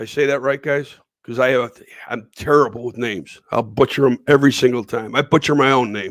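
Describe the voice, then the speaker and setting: This man has a Western New York accent and a medium pitch. He speaks fairly quickly with fairly even intonation. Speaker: livestream host. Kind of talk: live-stream interview. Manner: halting, many fillers.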